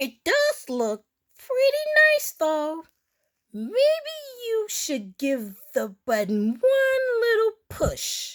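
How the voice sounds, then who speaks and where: In a put-on character voice, a woman speaks with a playful tone, squeaky and extremely high in pitch. Her pace is very slow, with long, frequent pauses. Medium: read story. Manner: playful, excitable.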